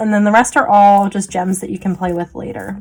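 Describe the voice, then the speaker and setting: A woman with a plain, everyday voice talks at a moderate pace and a medium pitch. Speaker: small business owner, crafter. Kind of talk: tutorial. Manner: casual, chatty.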